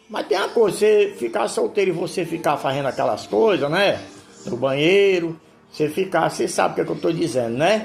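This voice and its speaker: A man talks at a fairly quick pace in a high voice with lively intonation. The room echo is audible, and music plays in the background. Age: 70s. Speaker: pastor. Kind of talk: sermon. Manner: informal, repetitive.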